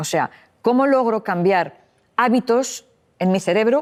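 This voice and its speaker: A woman speaks in a normal speaking voice. Her fairly high pitch rises and falls with lively intonation. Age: 60s. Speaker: psychologist and author. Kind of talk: interview.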